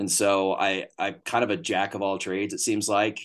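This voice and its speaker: A man with a Texan accent speaks against a quiet background. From Northeast Texas. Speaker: hunting booking agent. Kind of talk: casual interview chat.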